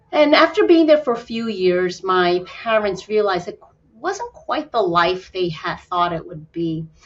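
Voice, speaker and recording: A woman at a medium pitch, lively intonation and moderate pace, over noticeable background noise. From New York City, raised from age six. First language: Spanish. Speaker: fertility doctor. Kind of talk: podcast interview. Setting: podcast.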